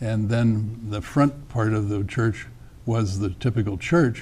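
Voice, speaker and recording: Somewhat breathy, a man talks at a fairly low pitch. His pace is moderate. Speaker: interview guest. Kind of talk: interview answer. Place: studio. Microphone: lapel.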